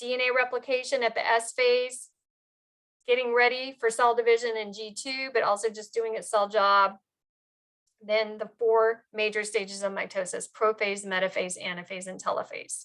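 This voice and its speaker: At a moderate pace, a woman speaks in an unremarkable speaking voice with a fairly high pitch and fairly even intonation. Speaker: biology instructor. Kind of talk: lecture.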